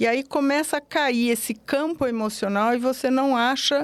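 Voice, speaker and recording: A woman takes a fairly slow pace on a very clean recording over a completely silent background. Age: 60s. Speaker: psychologist. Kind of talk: interview. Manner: halting.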